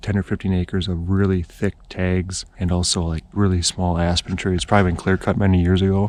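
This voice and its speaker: A man whispering at a fairly quick pace with an American accent. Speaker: hunting video creator. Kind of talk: outdoor tutorial. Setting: outdoors in the woods.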